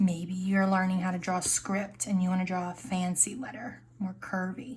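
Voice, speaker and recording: Moderate pace, fairly even intonation and a somewhat breathy quality. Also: woman. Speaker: art teacher. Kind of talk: tutorial.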